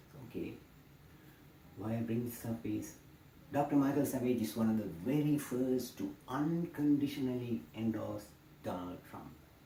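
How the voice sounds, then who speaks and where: The intonation is lively. There is audible room echo. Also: man. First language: not English. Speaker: political commentator. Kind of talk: political monologue.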